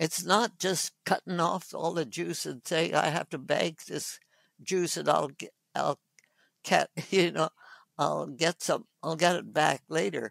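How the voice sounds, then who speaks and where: Vocal fry comes through at a very slow pace with ordinary pitch variation, in a dry, close sound with no echo on a very clean recording with a silent background. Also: woman. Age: 80s+. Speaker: physician. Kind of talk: interview answer.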